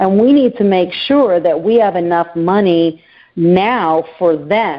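A normal speaking voice from a woman, medium-pitched and fairly slow, with lively intonation. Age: 50s. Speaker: financial planner. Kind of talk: interview.

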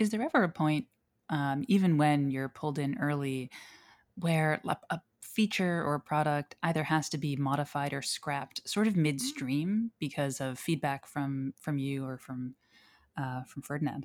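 A woman speaks at a moderate pace with an American accent and a very deep, low pitch, showing ordinary pitch variation. The recording is very clean with a silent background and a dry, close sound with no echo. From United States. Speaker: podcast host and journalist. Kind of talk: casual interview.

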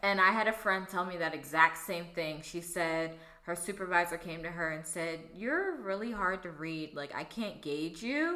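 Noticeable background noise sits behind a woman speaking at a moderate pace. Her voice is fairly low, with ordinary pitch variation. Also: hardly any pauses. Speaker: podcast co-host.

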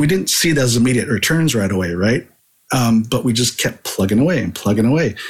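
The speaker has a West Coast accent. The pace is moderate. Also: man. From California Bay Area. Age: 50s. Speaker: marketing consultant. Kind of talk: interview.

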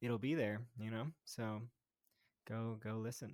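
In an American accent, a man speaks at a medium pitch in a plain, everyday voice. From New Jersey (Montclair). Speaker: musician and union organizer. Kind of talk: casual chat.

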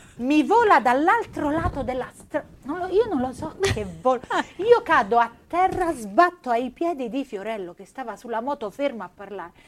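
A woman's animated, high-pitched voice with very wide pitch swings and big shifts in loudness, over noticeable background noise. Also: moderate pace. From Apulia, Foggia. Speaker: podcast co-host. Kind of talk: casual chat.

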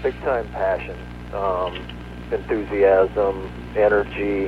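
A man speaks over noticeable background noise. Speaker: sports journalist. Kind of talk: radio interview. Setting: phone call. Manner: casual, filler-heavy.

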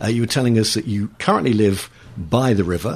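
Here a man with a southern English accent speaks at a fairly quick pace. His voice carries vocal fry. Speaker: local radio host. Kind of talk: radio interview. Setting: studio. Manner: jovial.

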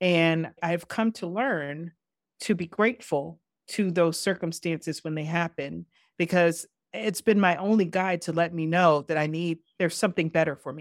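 A normal speaking voice, a woman talks at a moderate pace with fairly low pitch and ordinary pitch variation. The very clean recording has a silent background and a dry, close sound with no echo. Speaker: podcast host. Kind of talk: interview.

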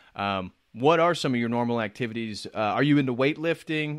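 Here a man talks in a normal speaking voice with an American accent, at medium pitch. His pace is fairly quick, his pitch variation ordinary, and the background quiet. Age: 30s. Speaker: YouTube channel host. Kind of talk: casual chat.

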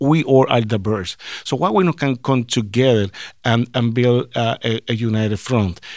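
In a Puerto Rican accent, a man speaks at a medium pitch and a fairly slow pace. The recording is very clean with a silent background. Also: ordinary pitch variation. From Puerto Rico. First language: Spanish. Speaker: sports team diversity director. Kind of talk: interview. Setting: on location at a ballpark office. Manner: halting.

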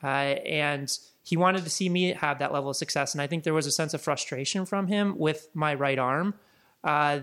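Recorded very cleanly against a silent background, a man with an American accent uses an ordinary speaking voice, fairly high in pitch, with fairly even intonation at a moderate pace. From Chicago. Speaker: digital marketing entrepreneur. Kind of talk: interview conversation.

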